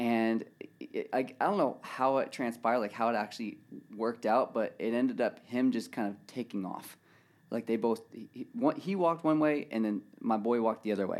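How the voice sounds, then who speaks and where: A man with an American accent uses a plain, everyday voice at a medium pitch, speaking fairly quickly with ordinary pitch variation. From California. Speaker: professional scooter rider. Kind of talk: casual chat. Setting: studio.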